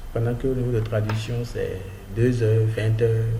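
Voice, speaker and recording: At a moderate pace, a man speaks with an African accent. Noticeable background noise and audible room echo are present. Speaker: freelancing tutorial youtuber. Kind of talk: screen-share tutorial. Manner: casual, hesitant with fillers.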